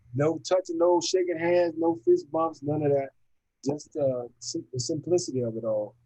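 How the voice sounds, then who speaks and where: Speaking at a moderate pace, a man has a fairly high voice. His tone is dark and mellow. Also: ordinary pitch variation. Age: 60s. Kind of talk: casual chat. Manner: halting.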